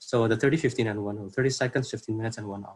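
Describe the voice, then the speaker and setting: Somewhat breathy and at a medium pitch, the man talks with fairly even intonation. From Indonesia. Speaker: workshop speaker. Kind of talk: workshop presentation. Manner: halting, many fillers.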